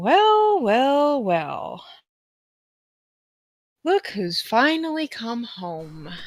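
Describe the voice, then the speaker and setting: A woman speaks in a put-on character voice, high-pitched with very wide pitch swings, at a very slow pace broken by long, frequent pauses. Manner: gloating, menacing.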